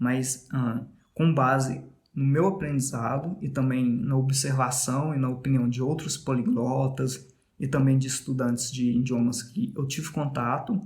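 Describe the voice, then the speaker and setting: A man with a Minas Gerais accent speaks at a fairly slow pace in a medium, somewhat breathy voice, his intonation fairly even, with audible room echo around him. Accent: Minas Gerais (mineiro). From Brazil, Minas Gerais. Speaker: podcast host, English learner. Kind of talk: casual monologue about language learning. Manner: conversational, with fillers.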